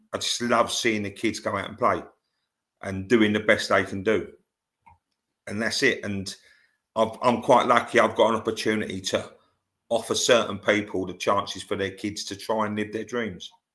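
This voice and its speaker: In a London accent, a man with a fairly low pitch and a bright, sharp tone talks in a flat monotone, with long, frequent pauses and big swings in loudness, on a very clean recording with a silent background. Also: moderate pace. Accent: southern English, London area. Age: 60s. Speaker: football scout and grassroots coach. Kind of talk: podcast interview. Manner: halting, many fillers.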